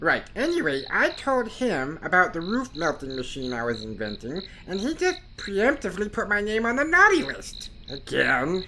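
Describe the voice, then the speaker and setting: At a middle pitch and moderate pace, a female-sounding put-on character voice comes through over clear background noise. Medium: audio drama. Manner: excitable, rambling.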